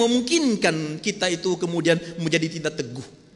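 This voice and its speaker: Over noticeable background noise, a man speaks with a Medan accent and very wide pitch swings. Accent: Sumatran (Medan) accent, still present. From North Sumatra, Medan. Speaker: pastor. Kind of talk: sermon. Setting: church.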